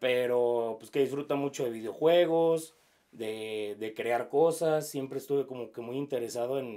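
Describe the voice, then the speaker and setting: A man with a slight Jalisco accent, at a moderate pace and medium pitch, with ordinary pitch variation. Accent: slightly rural Jalisco Mexican. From Mexico, Jalisco (Zapotlanejo). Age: 30s. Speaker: sports broadcaster. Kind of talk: interview. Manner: halting, many fillers.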